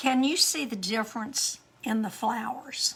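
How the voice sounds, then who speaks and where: A woman with a high pitch speaks at a fairly slow pace with ordinary pitch variation over noticeable background noise. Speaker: card-making demonstrator. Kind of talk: crafting tutorial. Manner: casual, halting.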